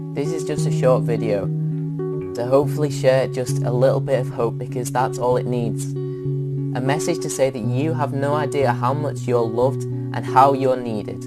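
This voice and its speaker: A man's medium-pitched voice with a Northern English accent, ordinary pitch variation, a moderate pace and hardly any pauses, with music in the background. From England. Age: young. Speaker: spoken word poet. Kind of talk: spoken word poetry performance. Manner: earnest, impassioned.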